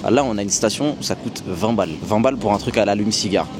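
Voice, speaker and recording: Very fast, lively speech from a man with a fairly low pitch, against noticeable background noise. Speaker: travel vlogger. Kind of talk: travel vlog. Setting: outdoors. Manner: casual, slangy.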